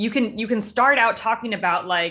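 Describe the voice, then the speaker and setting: The speaker is a woman with an American accent. Her voice has a bright, sharp tone. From Los Angeles, US. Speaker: grad school application coach. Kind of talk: scripted narration; feedback session over video call. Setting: video call.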